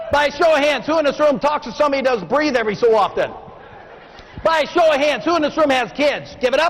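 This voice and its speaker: A man with an extremely high-pitched voice talks very fast in an animated tone, his loudness very even and his pitch varying in an ordinary way, over noticeable background noise. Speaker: motivational speaker. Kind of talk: keynote speech. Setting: stage with audience.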